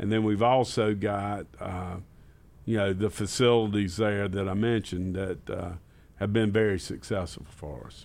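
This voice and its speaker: A man speaks with fairly low pitch and fairly even intonation. His loudness swings widely. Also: moderate pace. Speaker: parks and recreation director.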